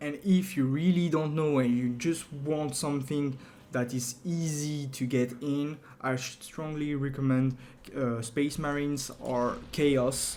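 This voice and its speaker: A man with a French accent speaks at a very slow pace, his ordinary pitch variation carried by audible room echo. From France. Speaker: video game tutorial creator. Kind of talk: tutorial. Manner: hesitant, many fillers.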